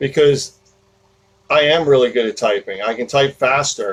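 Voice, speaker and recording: A man speaks at a moderate pace with a New Jersey accent, his pitch varying in an ordinary way. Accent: New Jersey American. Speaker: podcast host. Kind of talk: casual talk. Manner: rambling with many fillers.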